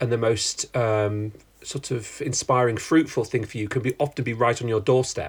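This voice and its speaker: At a moderate pace, a man with a British accent speaks in a somewhat breathy voice at medium pitch with fairly even intonation. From UK. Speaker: writer and design historian. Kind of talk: interview conversation.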